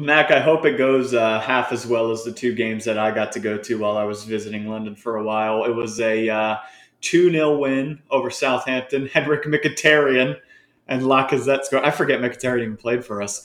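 Here a man talks at a fairly quick pace in an unremarkable speaking voice. His pitch is medium with ordinary pitch variation. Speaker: football show host. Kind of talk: casual chat.

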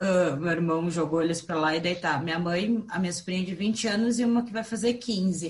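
A woman speaks in an ordinary speaking voice, fairly low in pitch. Her pace is fairly quick, with ordinary pitch variation and hardly any pauses. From southern Brazil, raised in Curitiba. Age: 30s. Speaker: podcast co-host, entrepreneur. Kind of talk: casual group conversation.

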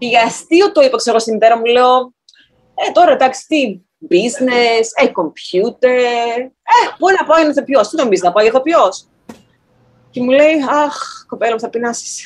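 A woman's high voice, fairly slow, with lively intonation. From Greece, Thessaloniki. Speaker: actor. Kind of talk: interview.

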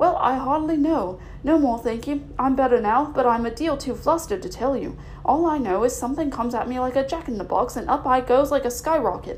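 Over clear background noise, a woman does a squeaky, put-on character voice at a fairly quick pace. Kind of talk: colloquial. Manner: flustered, shaken.

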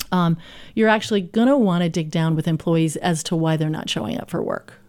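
On a very clean recording with a silent background, a woman speaks in a normal speaking voice at medium pitch with ordinary variation. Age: 50s. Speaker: culture coach. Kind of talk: interview.

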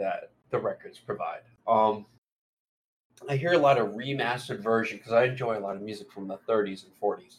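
Moderate pace and medium pitch in a man's normal speaking voice. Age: 20s. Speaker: podcast co-host. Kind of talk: casual chat.

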